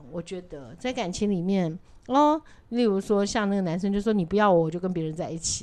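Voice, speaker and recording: With a normal speaking voice, a woman of medium pitch talks at a fairly quick pace with lively intonation. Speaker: podcast co-host. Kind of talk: casual chat.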